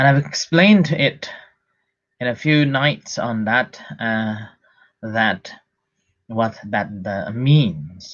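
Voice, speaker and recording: A man speaks at a very slow pace with long, frequent pauses, his medium-pitched voice carrying lively intonation. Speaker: Buddhist monk teacher. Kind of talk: dhamma talk. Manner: deliberately slow.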